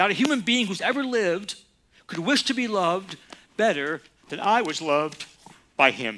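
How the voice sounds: Lively intonation in a natural voice reading aloud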